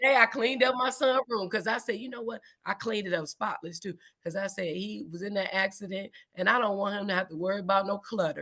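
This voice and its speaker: Speaking very fast and loud, a woman uses a medium pitch with ordinary pitch variation. Her tone is animated, bright and sharp. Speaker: podcast host. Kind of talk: casual chat.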